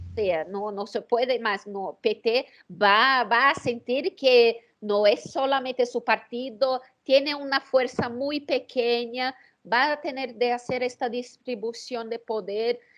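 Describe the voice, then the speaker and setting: Speaking very slowly, a woman with a Portuguese accent uses a high pitch with ordinary pitch variation. The recording is very clean, with a silent background. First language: Portuguese (speaking Spanish). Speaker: political strategist. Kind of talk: interview. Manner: halting, many fillers and repetitions.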